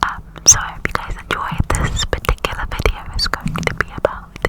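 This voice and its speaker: Whispering at a moderate pace is heard through noticeable background noise. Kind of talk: ASMR fact reading. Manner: whispered.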